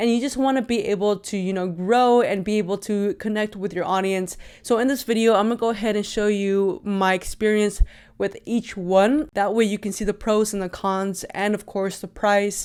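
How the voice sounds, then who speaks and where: A woman speaks at a moderate pace with fairly even intonation. The recording is very clean, with a silent background. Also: medium pitch for a woman. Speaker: YouTuber reviewing microphones. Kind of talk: product review tutorial. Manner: loud.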